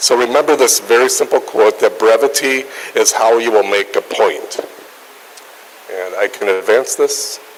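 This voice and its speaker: Noticeable background noise stays present throughout. A man speaks over it at a moderate pace. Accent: northern US. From northern US near Canada. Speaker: nutrition researcher and journal editor. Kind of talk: lecture.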